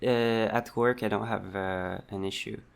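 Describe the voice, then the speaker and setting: With a strong French-Canadian accent, a man speaks at a fairly low pitch and keeps his intonation fairly even. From Quebec. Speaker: vlogger. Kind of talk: personal vlog monologue. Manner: halting, many fillers and restarts.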